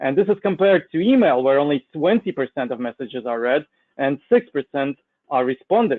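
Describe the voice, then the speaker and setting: In a Russian accent, a man speaks with very wide pitch swings. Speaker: cybersecurity consultant presenting a webinar. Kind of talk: webinar presentation. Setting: online webinar with slides.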